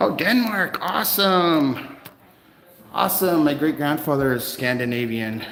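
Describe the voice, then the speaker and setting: Amid noticeable background noise and audible room echo, a man with a fairly high pitch speaks at a fairly slow pace. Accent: slight Canadian. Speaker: first amendment auditor livestreamer. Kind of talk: live stream chat with viewers. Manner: casual, hesitant with many fillers.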